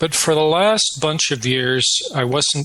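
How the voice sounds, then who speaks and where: A man with a Canadian accent at a fairly slow pace over noticeable background noise. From Canada. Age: 60s. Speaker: retired professor, researcher. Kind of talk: interview.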